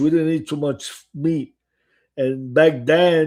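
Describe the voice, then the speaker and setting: Very slowly, a man with a strong Italian accent and a dark, mellow tone speaks in a very clean recording with a silent background. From Italy. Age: 70s. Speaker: restaurant owner and author. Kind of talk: casual chat. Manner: halting.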